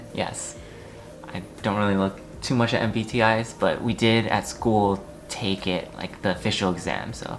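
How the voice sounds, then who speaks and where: With an American accent, a man talks at a moderate pace in a fairly low pitch and fairly even intonation, against noticeable background noise. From US Northeast (New Jersey). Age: 20s. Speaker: technology consultant. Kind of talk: casual interview. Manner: halting, with many repeats and fillers.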